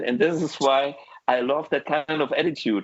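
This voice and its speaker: A man with a German accent, a fairly high pitch, ordinary pitch variation, and a moderate pace, in a dry, close sound with no echo. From Germany. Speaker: guitar show host. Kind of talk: casual chat. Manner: animated.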